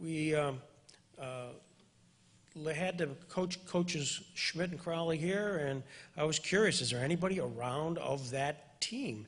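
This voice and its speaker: A man's voice, somewhat breathy, rises and falls with lively intonation. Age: 60s. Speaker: interviewer, attorney. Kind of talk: event introduction to audience.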